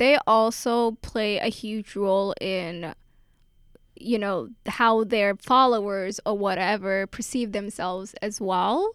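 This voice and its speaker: A woman has a normal speaking voice at medium pitch. She talks at a fairly slow pace on a very clean recording with a silent background. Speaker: college student. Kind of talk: casual chat.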